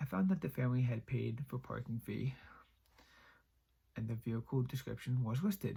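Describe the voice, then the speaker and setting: Somewhat breathy and dark, mellow in tone, a man's medium-pitched voice runs at a fairly quick pace with ordinary pitch variation. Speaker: YouTube creepypasta reader. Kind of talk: horror story reading.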